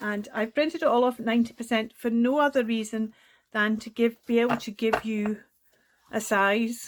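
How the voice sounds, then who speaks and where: Over a silent background, the very clean recording captures a woman with a Scottish accent. Her pitch is fairly high and her pace moderate. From Scotland. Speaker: crafting YouTuber. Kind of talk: tutorial. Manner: animated.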